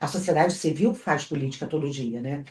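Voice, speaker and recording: A woman's voice with ordinary pitch variation. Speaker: cultural entrepreneur. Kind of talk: interview conversation.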